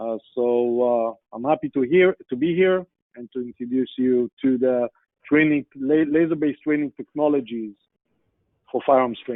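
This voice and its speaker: A man talks with an Israeli accent at medium pitch. His pace is moderate, with ordinary pitch variation. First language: Hebrew. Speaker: sales executive, guest speaker. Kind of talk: business presentation. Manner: hesitant, many fillers.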